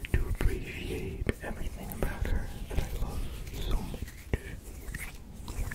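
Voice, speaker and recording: Someone whispers in a gentle tone at a fairly slow pace, with noticeable background noise. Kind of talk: ASMR whispered ramble. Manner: whispered, soft-spoken; slow, gentle.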